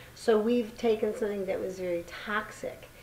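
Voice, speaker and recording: Noticeable background noise fills the clip. The speaker is a woman. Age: 60s. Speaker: community gardener and author. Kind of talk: casual chat.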